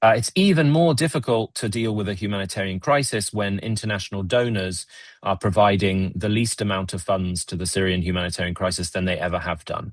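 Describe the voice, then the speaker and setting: A man with a British accent, fairly low pitch, ordinary pitch variation and a fairly quick pace, set against a quiet background. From Britain. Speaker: Middle East policy analyst. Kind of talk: webinar discussion. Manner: halting, many fillers and repetitions.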